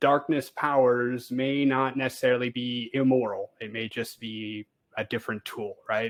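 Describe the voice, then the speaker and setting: A man with an American accent talks at a moderate pace and medium pitch. His intonation stays fairly even, though his loudness swings widely. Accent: sounds American. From Canada. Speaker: space engineer and game streamer. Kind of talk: casual interview chat. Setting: voice call over internet. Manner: hesitant, many fillers.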